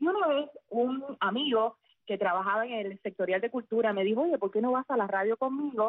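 A woman speaks in a plain, everyday voice at a fairly quick pace. Her pitch is fairly high with ordinary variation, and her loudness stays very even. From central Cuba (Sagua la Grande). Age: 40s. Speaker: former radio announcer turned teacher. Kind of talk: interview.

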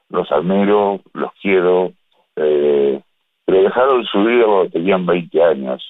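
At a very slow pace, a man with a fairly low pitch speaks with lively intonation. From Uruguay. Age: 70s. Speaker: writer. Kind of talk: interview. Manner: hesitant, many fillers.

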